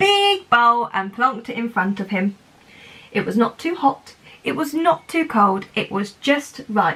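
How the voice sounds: Lively intonation marks someone reading in a natural voice.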